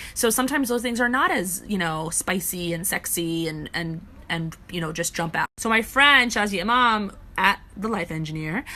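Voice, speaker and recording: A woman talks at a moderate pace with a medium pitch. Her tone is bright and sharp, and her intonation is lively. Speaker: relationship advice vlogger. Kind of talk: casual advice monologue. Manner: quiet, hushed.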